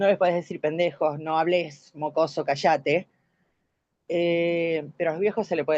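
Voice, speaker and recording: A woman's ordinary speaking voice, fairly low in pitch, with fairly even intonation at a moderate pace over a quiet background. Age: 60s. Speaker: course participant. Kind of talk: online class discussion.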